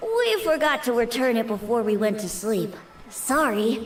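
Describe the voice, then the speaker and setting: A female-sounding, put-on character voice sits at a fairly high pitch and a moderate pace. Clear background noise runs behind it. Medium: video game. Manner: soft, gentle.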